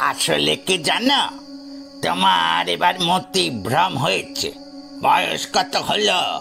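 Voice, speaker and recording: A man's put-on character voice, fairly high in pitch and very slow, over clear music in the background. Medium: read story. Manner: calm, reasoning.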